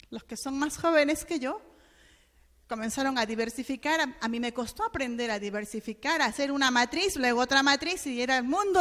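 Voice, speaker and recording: The pace is moderate as a woman talks. Her pitch moves up and down very widely. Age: 50s. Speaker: education specialist, lecturer. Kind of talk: lecture.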